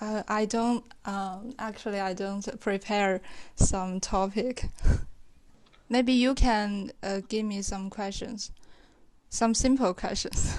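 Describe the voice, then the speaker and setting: Against a quiet background, a woman with a Chinese accent speaks very slowly at a medium pitch, with fairly even intonation and long, frequent pauses. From China. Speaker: caller practising English. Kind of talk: casual conversation practice. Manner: hesitant, many fillers.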